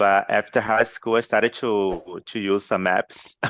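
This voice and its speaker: On a very clean recording with a silent background, a man with a Portuguese accent speaks at a fairly low pitch. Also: dry, close sound with no echo. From Brazil. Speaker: English learner, university student. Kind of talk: interview.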